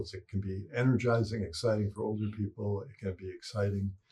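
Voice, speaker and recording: With an American accent, a man speaks at a fairly low pitch in a somewhat breathy voice, his intonation fairly even. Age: 60s. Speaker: psychologist and parenting expert. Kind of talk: interview.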